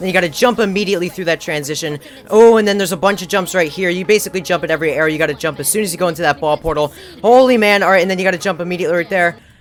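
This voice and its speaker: A man's high-pitched voice at a very fast pace, with ordinary pitch variation and noticeable background noise. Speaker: gaming YouTuber. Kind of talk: gameplay commentary. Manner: animated; stuttering, halting.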